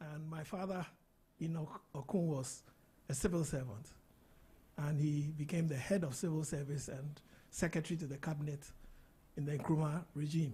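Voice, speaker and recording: A man with a fairly high pitch and a dark, mellow tone sounds somewhat breathy. He keeps a moderate pace and fairly even intonation, with long, frequent pauses. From Ghana, Accra. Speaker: interview guest, business mentor. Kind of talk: casual interview.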